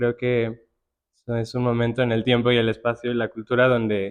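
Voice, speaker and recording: Soft-spoken and fairly quick, a man talks in a monotone, flat intonation. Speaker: curator and writer. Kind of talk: panel conversation. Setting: art gallery with live audience.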